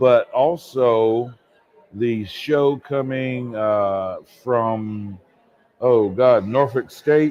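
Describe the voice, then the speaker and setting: A man's medium-pitched voice proceeds very slowly. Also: ordinary pitch variation. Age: 60s. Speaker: theater technical director. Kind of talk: casual chat. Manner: animated.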